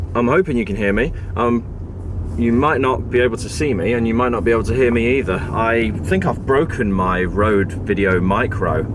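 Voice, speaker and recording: Amid audible room echo and noticeable background noise, a man with a British accent speaks at a moderate pace with ordinary pitch variation. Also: medium pitch for a man. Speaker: tech vlogger. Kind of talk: casual vlog talk. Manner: halting, stammering.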